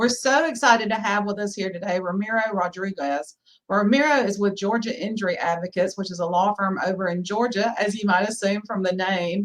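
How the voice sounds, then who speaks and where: In a Southern US accent, a woman talks at a fairly quick pace. Her medium pitch shows ordinary variation. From US South. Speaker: podcast host, lawyer. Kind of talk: interview podcast.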